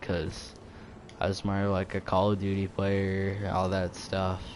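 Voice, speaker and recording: Noticeable background noise sits behind the voice. A man speaks fairly slowly in a fairly low pitch. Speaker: gaming youtuber. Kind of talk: casual vlog talk. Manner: hesitant, many fillers; quiet.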